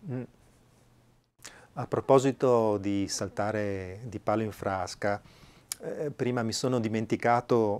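Very slow and broken by long, frequent pauses, a man's speech carries a strong Venetian accent and fairly even intonation. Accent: Venetian Italian, strong. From Veneto, Italy. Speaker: flautist and musician; interview guest. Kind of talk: casual interview chat; conversational interview chat. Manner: halting, hesitant. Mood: warm, anecdotal. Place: home room. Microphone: lapel.

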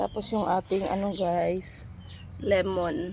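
A woman speaks at a fairly slow pace in a medium pitch, with vocal fry and a dark, mellow tone. Her intonation is monotone and flat. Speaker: vlogger, mother. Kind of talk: casual vlog narration.

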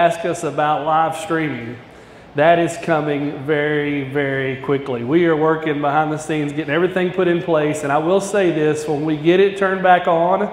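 Amid audible room echo, a man speaks at a moderate pace with fairly even intonation. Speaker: guest preacher. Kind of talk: sermon. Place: church.

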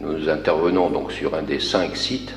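A man at a moderate pace, with light background noise and audible room echo. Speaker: architect. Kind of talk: project presentation. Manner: halting. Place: hall.

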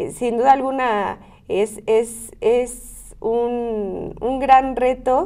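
The background is quiet as a woman speaks at a very slow pace. Her voice is high-pitched, with a dark, mellow tone. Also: ordinary pitch variation. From Mexico, Querétaro (Ezequiel Montes); Querétaro, Mexico. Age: 20s. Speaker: local politician. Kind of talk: interview. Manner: hesitant with repeated fillers. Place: studio. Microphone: lapel.

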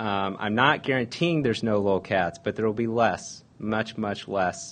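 Pitch varies in an ordinary way as the speech proceeds at a moderate speed. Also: man. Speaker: conference presenter. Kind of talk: conference talk. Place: meeting room.

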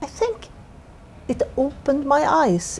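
A woman speaks at a fairly slow pace with a Swedish accent. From Sweden. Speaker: corporate lawyer. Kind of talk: interview. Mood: warm, reflective. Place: office.

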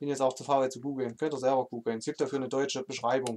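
In an East German accent, a man speaks at a very fast pace with a monotone, flat intonation over noticeable background noise. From eastern Germany. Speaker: gaming streamer. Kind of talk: live stream chat while gaming. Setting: live stream. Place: home room.

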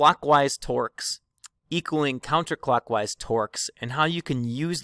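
In a dry sound with no echo and a quiet background, a man speaks at a fairly slow pace with ordinary pitch variation. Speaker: engineering teacher. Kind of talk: lecture. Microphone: webcam.

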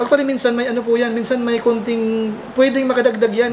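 A man's extremely high-pitched voice at a very fast pace, fairly even in intonation, over light background noise. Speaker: vlogger co-host. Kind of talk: casual vlog chat. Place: home room. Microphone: lapel.

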